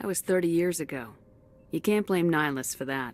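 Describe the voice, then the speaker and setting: A woman performs a put-on character voice. It sits fairly low for a woman and moves at a fairly quick pace. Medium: video game. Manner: calm, steady.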